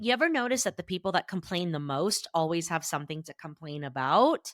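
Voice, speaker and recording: A woman's bright, sharp voice at a moderate pace, dry and close with no echo, on a very clean recording with a silent background. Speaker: therapist and podcast host. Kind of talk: motivational podcast monologue. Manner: loud.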